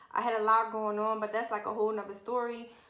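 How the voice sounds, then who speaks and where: A woman speaks in a raised, projected voice at a fairly quick pace. The background is quiet, but room echo is audible. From Philadelphia, US. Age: 20s. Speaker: lash artist, beauty vlogger. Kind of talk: personal story vlog. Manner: casual, frequent 'um' fillers. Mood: earnest, reflective. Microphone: phone near.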